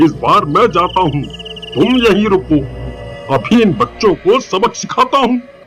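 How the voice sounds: Over clear background noise, a man puts on a cartoonish character voice, high in pitch and at a moderate pace.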